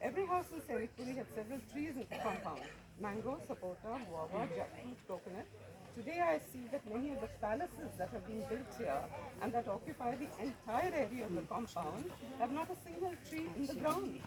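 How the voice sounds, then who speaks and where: A fairly quick delivery against noticeable background noise. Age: 70s. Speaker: local resident speaking at a protest. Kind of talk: public speech.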